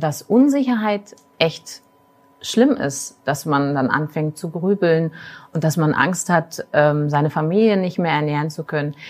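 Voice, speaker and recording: A woman speaks in a fairly low pitch at a moderate pace. Her intonation is lively. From Magdeburg, Saxony-Anhalt, Germany. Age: 40s. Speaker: tourism marketing executive. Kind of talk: casual chat. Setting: café, filmed livestream.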